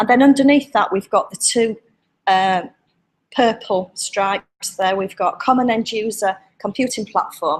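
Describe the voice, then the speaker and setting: This woman speaks at a fairly high pitch with ordinary pitch variation. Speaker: public sector IT manager. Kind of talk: conference presentation. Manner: fast.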